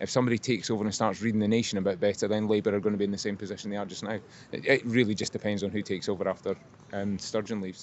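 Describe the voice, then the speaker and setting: A man with a Scottish accent talks at a very fast pace in a monotone, flat intonation. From Scotland. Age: 80s+. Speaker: member of the public. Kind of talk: street interview. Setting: outdoors.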